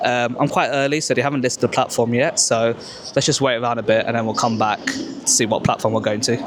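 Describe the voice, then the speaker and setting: Noticeable background noise sits under this recording. The speaker talks very fast, in a British accent with fairly even intonation. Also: man. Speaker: travel vlogger. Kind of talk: travel vlog narration. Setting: on a train.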